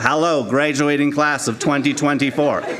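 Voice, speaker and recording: A man's robotic, put-on character voice, fairly high in pitch at a moderate pace, over loud background noise. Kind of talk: formal graduation address.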